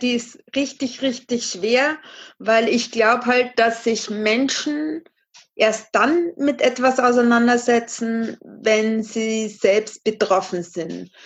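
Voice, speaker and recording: At a very slow pace, a woman speaks at a fairly high pitch with ordinary pitch variation. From Bavaria, Regensburg. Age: 30s. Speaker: charity fundraiser. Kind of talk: podcast interview.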